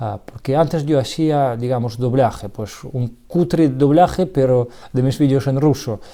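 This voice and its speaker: A man's medium-pitched voice in a Russian accent, dark and mellow in tone, with ordinary pitch variation, a fairly slow pace and hardly any pauses. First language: Russian (speaking Spanish). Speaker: electronics hobbyist youtuber. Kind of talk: tutorial; casual chat. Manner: halting.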